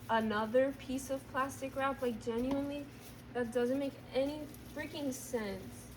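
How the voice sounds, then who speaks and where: Shouting loudly at a moderate pace, a woman holds a high pitch with fairly even intonation. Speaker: vlogger. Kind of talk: casual vlog narration while baking. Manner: loud, yelling.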